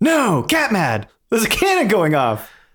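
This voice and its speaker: A man performs a put-on character voice at a high pitch. The pace is moderate and the recording very clean, with a silent background. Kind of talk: comic overacting. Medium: actual play.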